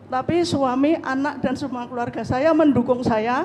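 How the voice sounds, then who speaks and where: A woman's high voice at a moderate pace, with fairly even intonation and audible room echo. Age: 60s. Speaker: housewife asking a question at a religious study. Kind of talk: question to a cleric.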